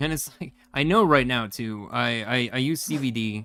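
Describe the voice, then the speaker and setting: Against background music, the speech unfolds at a moderate pace. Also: man. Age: 40s. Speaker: gaming streamer. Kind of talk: live gameplay stream chat. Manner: rambling, halting with false starts.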